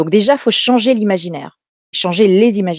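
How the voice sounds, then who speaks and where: A woman with a dark, mellow tone talks at a moderate pace with ordinary pitch variation, recorded dry and close with no echo. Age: 50s. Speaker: public speaking coach and agency head. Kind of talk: interview. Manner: hesitant, many fillers and repetitions.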